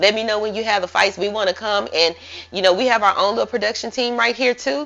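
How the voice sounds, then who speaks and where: At a very fast pace, a woman speaks with medium pitch and vocal fry. Her intonation is fairly even. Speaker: interview show host. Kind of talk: casual interview. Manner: loud.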